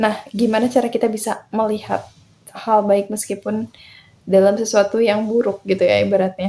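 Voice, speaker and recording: Her voice is fairly high, with a dark, mellow tone, as the woman talks at a moderate pace in a monotone, flat intonation. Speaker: self-improvement podcaster. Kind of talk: motivational podcast talk. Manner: casual, encouraging.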